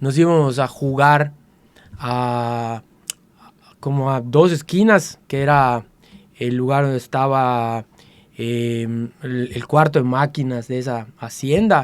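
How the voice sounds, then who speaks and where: A man with a medium pitch and ordinary pitch variation speaks at a very slow pace, with long, frequent pauses. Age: 60s. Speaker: interviewee sharing life story. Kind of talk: interview.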